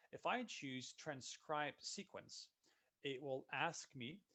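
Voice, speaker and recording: His intonation is lively, and his pitch is fairly high. The man speaks with a Dutch accent. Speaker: software solutions consultant. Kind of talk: webinar software demo. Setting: online webinar. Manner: casual, upbeat.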